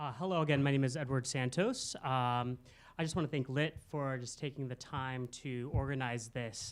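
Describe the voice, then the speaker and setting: The recording is very clean, with a silent background. A man of medium pitch speaks at a moderate pace with fairly even intonation. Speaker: political candidate. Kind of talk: candidate forum speech. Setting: stage with audience in a theater. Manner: hesitant, many fillers.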